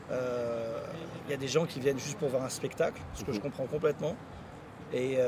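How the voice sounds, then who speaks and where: Intonation stays fairly even as a man talks in a fairly high voice. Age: 40s. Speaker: football supporter. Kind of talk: casual interview. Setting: motorway service area.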